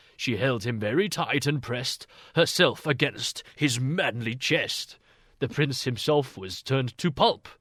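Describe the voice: Ordinary pitch variation in plain reading aloud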